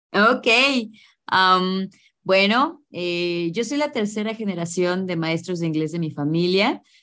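A woman speaks in a Mexico City accent with a bright, sharp tone. Her pace is very slow. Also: medium pitch for a woman, ordinary pitch variation. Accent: Mexican Spanish (Mexico City). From Mexico City, Mexico. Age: 30s. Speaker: English teacher. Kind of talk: interview. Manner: animated.

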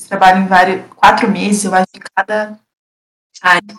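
Here a woman talks at a moderate pace. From Paraná, Brazil (Castro). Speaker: engineering student. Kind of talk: casual chat.

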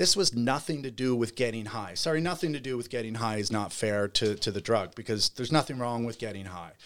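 A man's medium-pitched voice with a Canadian Maritime accent, at a fairly quick pace with hardly any pauses and ordinary pitch variation, on a very clean recording with a silent background. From Nova Scotia, Canada (Bridgewater). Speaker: cannabis industry entrepreneur. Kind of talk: casual interview. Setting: studio.

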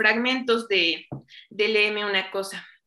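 The speaker is a woman with a fairly high pitch. Her tone is bright and sharp, and her pitch varies in an ordinary way. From Mexico, Chignahuapan, Puebla. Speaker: clinical lab director and chemist. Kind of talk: interview.

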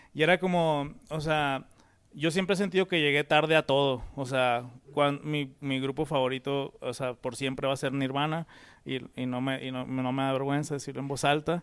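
A man with a fairly high pitch, fairly even intonation and an ordinary speaking voice. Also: moderate pace. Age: 30s. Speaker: musician. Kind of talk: casual chat.

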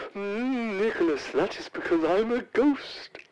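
A female-sounding voice in a put-on character voice speaks at a fairly high pitch and a fairly slow pace. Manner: spooky, playful.

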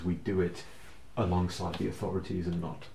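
A man's very deep, low voice, dark and mellow in tone and somewhat breathy. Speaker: tabletop RPG player. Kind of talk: live-play tabletop RPG, casual chat with in-character speech.

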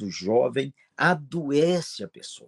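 Lively intonation in a normal speaking voice, with a dry, close sound, no echo, and a quiet background. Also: man. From Minas Gerais, Brazil. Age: 60s. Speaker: pastor. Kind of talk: interview.

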